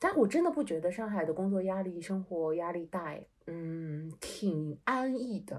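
An unremarkable speaking voice from a woman, at a medium pitch and fairly slow pace, with ordinary pitch variation. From Shanghai. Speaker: podcast co-host. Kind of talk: casual chat.

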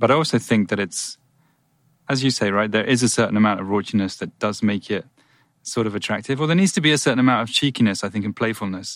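A very fast delivery with ordinary pitch variation, on a very clean recording with a silent background. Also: man, fairly low pitch for a man. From England. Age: 40s. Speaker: podcast host. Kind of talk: casual chat.

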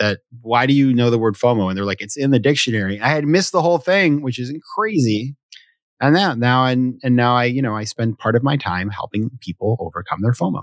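With an American accent, a man uses an ordinary speaking voice at medium pitch, talking at a fairly quick pace with lively intonation in a very clean recording with a silent background and a dry, close sound with no echo. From US Northeast, Sanford, Maine. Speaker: venture capitalist and author. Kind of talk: casual interview conversation.

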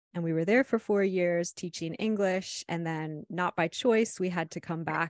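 A woman's unremarkable speaking voice, fairly low-pitched, with an American accent, at a moderate pace with fairly even intonation, in a dry, close sound with no echo. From Ohio, US Midwest. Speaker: life coach and podcaster. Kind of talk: casual chat.

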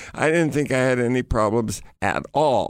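A man's plain, everyday voice with an American accent, medium in pitch with ordinary pitch variation. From United States. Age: 60s. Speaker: adventurer and author. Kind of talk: storytelling interview. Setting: studio.

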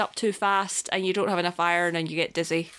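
On a very clean recording with a silent background, a woman speaks in a bright, sharp tone. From Scotland. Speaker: podcast co-host. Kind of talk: casual chat.

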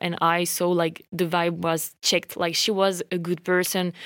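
Someone speaks at a fairly slow pace with a French accent. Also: woman. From France. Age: 20s. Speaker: podcast host. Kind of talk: casual personal storytelling. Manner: rambling, many fillers.

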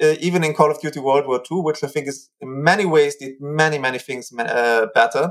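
A man with a German accent at a moderate pace, in a very clean recording with a silent background. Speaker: cultural historian. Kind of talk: interview. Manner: hesitant.

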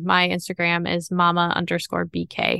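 A woman speaks with an American accent and a fairly low pitch. Her tone is bright and sharp against a quiet background. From northern Wisconsin. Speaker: small business founder and inventor. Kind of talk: interview.

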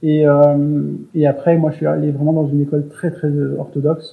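A man's fairly high voice at a moderate pace. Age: 30s. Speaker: interviewee sharing personal story. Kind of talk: casual interview. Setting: remote call. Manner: soft-spoken; halting. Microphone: poor recording quality.

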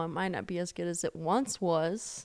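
Over a silent background on a very clean recording, a woman speaks at a moderate pace. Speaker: podcast co-host. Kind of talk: casual chat. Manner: soft-spoken.

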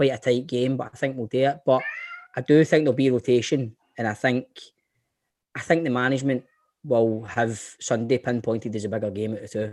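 In a Scottish accent, a man with a medium pitch speaks with fairly even intonation and long, frequent pauses. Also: fairly quick pace. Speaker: actor. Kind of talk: casual chat.

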